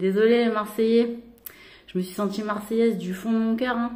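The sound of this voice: Speaking in a Parisian accent, a woman keeps a moderate pace. Noticeable background noise is present.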